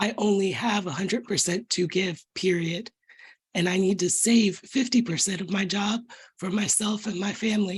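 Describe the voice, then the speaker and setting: A woman speaks at a moderate pace and a medium pitch. Her voice is somewhat breathy, with fairly even intonation. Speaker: meeting participant. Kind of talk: casual chat.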